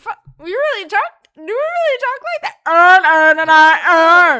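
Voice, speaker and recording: A woman's raised, projected voice, extremely high in pitch, bright and sharp, with lively intonation and big swings in loudness. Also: moderate pace. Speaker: podcast co-host. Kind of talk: casual chat.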